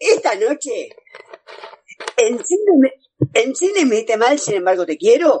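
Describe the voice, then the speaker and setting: A man with a Buenos Aires accent, extremely high-pitched with very wide pitch swings, very slow, with long, frequent pauses. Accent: Rioplatense Spanish (Buenos Aires). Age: 50s. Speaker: radio host. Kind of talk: radio interview.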